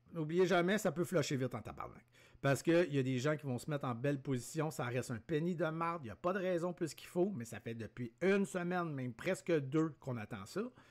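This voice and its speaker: A man's fairly high pitch and lively intonation at a fairly quick pace, on a very clean recording with a silent background. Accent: Quebec. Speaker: day trader. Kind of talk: live trading commentary. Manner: animated.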